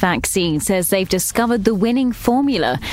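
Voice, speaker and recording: Noticeable background noise beneath a fairly quick pace and ordinary pitch variation. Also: woman. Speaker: news reader. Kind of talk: station announcer reading hourly news bulletin, scripted. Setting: studio. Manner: crisp, brisk, formal, even newsreader delivery.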